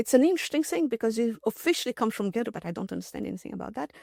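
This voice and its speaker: A woman with a non-native accent at a very fast pace, pitch swinging very widely, in a dry, close sound with no echo. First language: not English. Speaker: mathematician. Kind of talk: interview storytelling. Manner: halting, many fillers and restarts.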